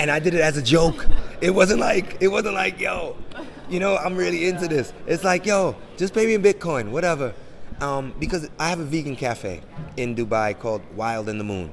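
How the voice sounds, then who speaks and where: A man with an American accent at a moderate pace and a fairly high pitch, with very wide pitch swings over noticeable background noise. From Jamaican, grew up in 1980s New York. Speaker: NFT and crypto entrepreneur. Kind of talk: interview. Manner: animated.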